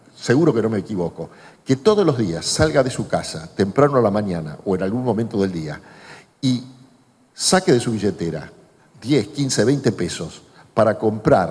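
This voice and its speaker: A man's voice swings very widely in pitch and sounds somewhat breathy. He leaves long, frequent pauses. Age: 60s. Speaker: journalist and author. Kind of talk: public talk Q&A.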